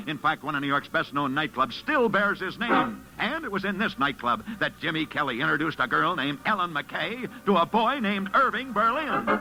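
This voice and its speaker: With music in the background, a man speaks fairly quickly at a high pitch, barely pausing, his voice swinging very widely in pitch. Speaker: radio sports reporter. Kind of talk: vintage radio sports program narration.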